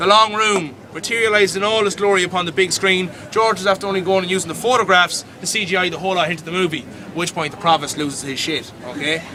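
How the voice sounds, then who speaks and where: A man's raised, projected voice with a Dublin accent, high-pitched with ordinary pitch variation, at a very fast pace with hardly any pauses, over noticeable background noise. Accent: Irish (Dublin). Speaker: tour guide. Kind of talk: live guided tour storytelling. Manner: comedic, animated.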